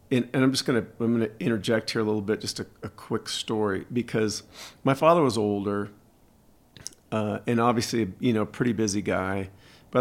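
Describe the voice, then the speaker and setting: Fairly quick in pace, this man has an unremarkable speaking voice. His pitch sits fairly low and his intonation stays fairly even. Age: 60s. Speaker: podcast host. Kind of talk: casual chat.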